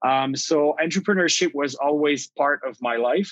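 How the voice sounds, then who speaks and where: A man with a Quebec accent, a fairly high pitch, ordinary pitch variation and a moderate pace. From Quebec, Ottawa region (Outaouais). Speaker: tech company CEO. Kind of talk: interview.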